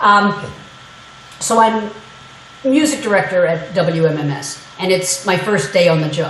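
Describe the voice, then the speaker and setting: Room echo is audible and background noise is noticeable. A woman speaks at a fairly slow pace. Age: 60s. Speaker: media historian and former radio music director. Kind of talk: guest lecture. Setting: classroom lecture. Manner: animated, conversational.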